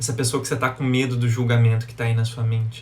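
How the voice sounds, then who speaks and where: A man speaks with a Brazilian accent. The recording carries audible room echo and noticeable background noise. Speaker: live-stream self-development speaker. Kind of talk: live stream talk to viewers. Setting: Instagram live, outdoors in sunlight.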